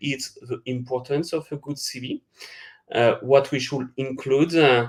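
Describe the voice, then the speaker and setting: Here a man speaks with a French accent at a medium pitch. His pace is moderate. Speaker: recruitment webinar presenter. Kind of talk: webinar presentation. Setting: online webinar. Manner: hesitant, many fillers.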